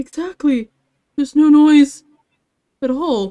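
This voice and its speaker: A woman in a high-pitched, put-on character voice at a fairly slow pace. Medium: game stream. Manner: calls everyone bros.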